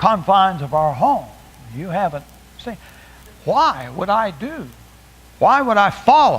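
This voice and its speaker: With audible room echo, a man speaks at a high pitch and a fairly slow pace, with long, frequent pauses, very wide pitch swings and big swings in loudness. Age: 70s. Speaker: preacher. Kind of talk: sermon. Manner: halting.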